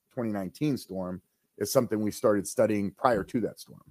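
A man with a fairly low voice speaks at a moderate pace in an American accent. It's a plain, everyday voice, with a dry, close sound and no echo. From northeast Ohio, Mahoning Valley. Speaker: city manager. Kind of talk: casual chat.

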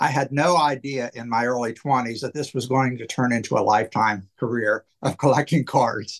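In a plain, everyday voice, a man talks at a medium pitch and a moderate pace with fairly even intonation. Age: 60s. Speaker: wrestling card collector. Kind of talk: casual chat.

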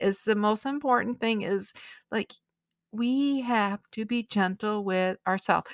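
Here a woman with a plain, everyday voice speaks at a fairly high pitch and a moderate pace, with ordinary pitch variation. The sound is dry and close with no echo, over a quiet background. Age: 50s. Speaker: psychic medium podcast host. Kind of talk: casual solo monologue.

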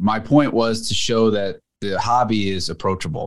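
Here a man at medium pitch talks at a moderate pace in an unremarkable speaking voice. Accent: American. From US, New Jersey. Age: middle-aged. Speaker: car magazine editor. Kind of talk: casual chat.

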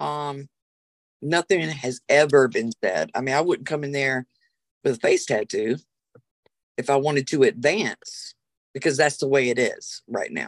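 A woman with a very deep, low pitch speaks in a Southern US accent at a fairly slow pace, with ordinary pitch variation and long, frequent pauses, in a dry, close sound with no echo. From US South, South Carolina. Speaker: witch and spiritual practitioner. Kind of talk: casual interview.

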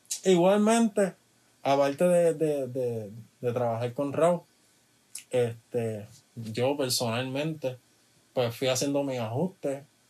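Speaking very slowly with long, frequent pauses, a man uses a medium pitch and a dark, mellow tone. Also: lively intonation. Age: 20s. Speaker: music producer. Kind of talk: casual interview chat.

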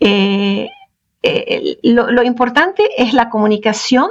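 A woman's high voice at a very slow pace. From Venezuela, Middle Eastern family. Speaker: sex and life coach. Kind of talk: interview. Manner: halting.

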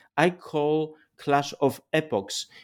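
A fairly high-pitched man with a Polish accent, on a very clean recording with a silent background. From Poland. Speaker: philosopher and political theorist. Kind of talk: interview. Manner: halting.

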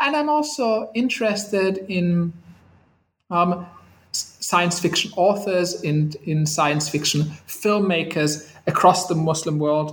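A man's high-pitched voice, very slow and with lively intonation, plus audible room echo. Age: 30s. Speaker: historian of science. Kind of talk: interview. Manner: animated.

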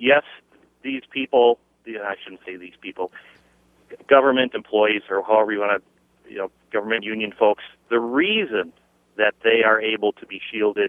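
This man talks at a moderate pace in a medium pitch, his intonation fairly even. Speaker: caller. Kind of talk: call-in radio comment. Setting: phone call.

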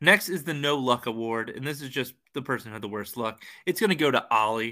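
Here a man speaks at a medium pitch with lively intonation and a bright, sharp tone. The recording is very clean, with a silent background. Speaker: fantasy football podcast host. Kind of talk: casual chat.

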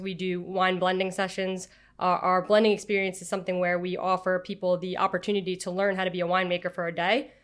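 In a New York accent, a woman talks at a medium pitch with monotone, flat intonation on a very clean recording with a silent background. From Long Island, New York. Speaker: winery creative director. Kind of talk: interview.

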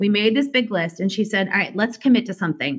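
A woman speaks very fast in an American accent, her pitch medium and her intonation lively. Her voice is somewhat breathy. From Indiana, US Midwest. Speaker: singer. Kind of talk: casual interview chat.

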